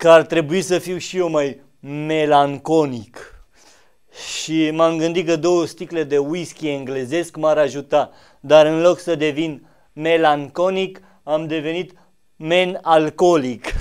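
Very slow, fairly even speech from a man over a quiet background. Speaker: comedian in a parody interview. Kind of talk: comedic interview answer. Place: studio. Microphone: studio mic.

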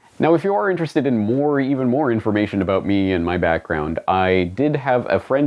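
Talking at a fairly quick pace, a man with a Canadian accent uses lively intonation and a fairly low pitch. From Canada. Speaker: independent journalist and web host; independent journalist, web host. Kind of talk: scripted monologue to camera. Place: home room.

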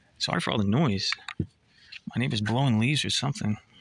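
A man with a normal speaking voice, fairly low in pitch and fairly quick, in a dry sound with no echo. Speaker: toy collector vlogger. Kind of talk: casual unboxing commentary. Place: garden. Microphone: phone near.

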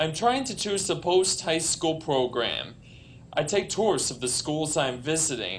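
With an American accent, a man speaks at a fairly slow pace with lively intonation. His voice carries vocal fry over light background noise. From US Northeast, New York; US Northeast. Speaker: speaker. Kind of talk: prepared speech. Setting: conference stage with audience. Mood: friendly, smiling. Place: hall. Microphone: podium.

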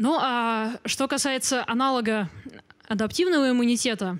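A woman with a high voice speaks against a quiet background. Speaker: biology lecturer, genetics graduate student; biology lecturer. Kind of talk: popular science lecture. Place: hall. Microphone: handheld.

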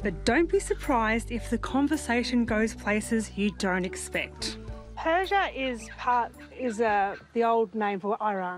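A woman at a fairly slow pace, dry sound with no echo, clear music in the background. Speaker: TV cooking show host. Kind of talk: TV show presenting. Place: garden.

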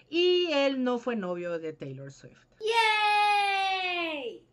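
A woman's voice with very wide pitch swings. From Mexico, Yucatán. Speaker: book youtuber. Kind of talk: casual Q&A vlog. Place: home room. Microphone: webcam.

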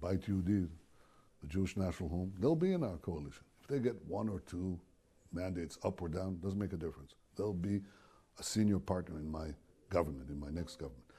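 A man speaks at a fairly quick pace in a very deep, low pitch. His tone is dark and mellow, and somewhat breathy. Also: ordinary pitch variation. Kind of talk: interview answer. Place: office. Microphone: lapel.

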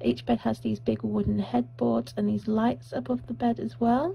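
Fairly even intonation and a somewhat breathy quality, delivered at a moderate pace. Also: woman. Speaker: vlogger on honeymoon. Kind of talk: casual vlog room tour. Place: home room. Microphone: phone near.

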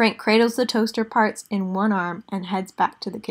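Fairly even intonation in reading aloud done in a natural voice

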